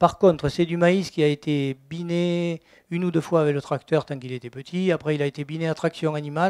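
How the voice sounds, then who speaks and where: A man talks at a very fast pace with a fairly high pitch. The recording is very clean, with a silent background and a dry, close sound that has no echo. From southwest France, Gers. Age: 60s. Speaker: organic farmer. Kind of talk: testimony at a conference. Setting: conference talk before audience. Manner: hesitant, many fillers.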